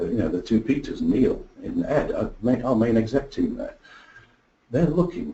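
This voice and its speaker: A man with an English accent, at a moderate pace. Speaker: product marketing executive. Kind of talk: webinar presentation. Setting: online webinar.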